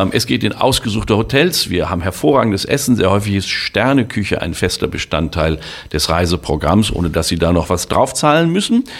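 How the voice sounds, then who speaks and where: Pitch swings very widely in this speech, though the pace stays moderate. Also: man. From Germany, Sauerland (Westphalia). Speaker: travel company owner and former tour guide. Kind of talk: promotional monologue.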